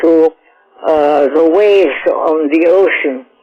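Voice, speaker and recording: Fairly even intonation against music in the background. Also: woman. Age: 80s+. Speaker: psychotherapist. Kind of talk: interview.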